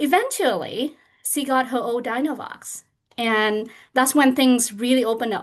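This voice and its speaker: Here a woman talks in a Vietnamese accent at a moderate pace. Her pitch is high. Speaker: parent advocate. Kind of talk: panel discussion.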